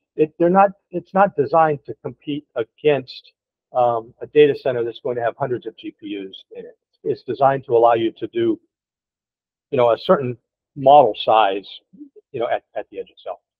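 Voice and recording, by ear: A man talks at a moderate pace with medium pitch and ordinary pitch variation. The sound is dry and close, with no echo.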